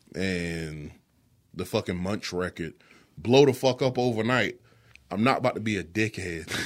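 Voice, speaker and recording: A man with a fairly low voice speaks at a moderate pace with lively intonation and long, frequent pauses. The recording is very clean, with a silent background. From South Carolina, Florence. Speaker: music producer and beatmaker. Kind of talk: casual chat. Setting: studio.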